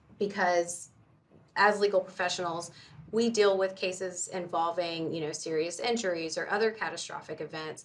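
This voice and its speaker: A woman speaks at a moderate pace in an unremarkable speaking voice, her medium pitch carried by fairly even intonation. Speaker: lawyer. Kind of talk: interview. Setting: podcast.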